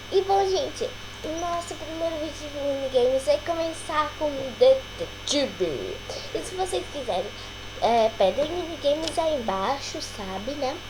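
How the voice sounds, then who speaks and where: A woman talks at a fairly slow pace, leaving long, frequent pauses. The recording has audible room echo and noticeable background noise. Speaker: gaming youtuber. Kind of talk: gameplay commentary. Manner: quiet; hesitant.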